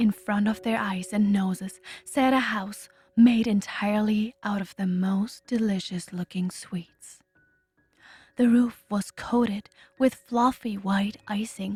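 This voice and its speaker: Over background music, a soft-spoken woman with a German accent talks very slowly at a medium pitch with fairly even intonation. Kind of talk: bedtime story.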